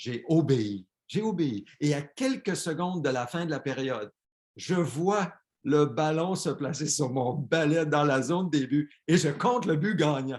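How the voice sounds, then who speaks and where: A man with a Quebec accent, a fairly high pitch and lively intonation, speaking very slowly. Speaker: pastor. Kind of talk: sermon.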